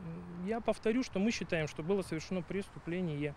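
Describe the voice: A slightly mellow tone at a fairly quick pace with ordinary pitch variation. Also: man, high pitch for a man.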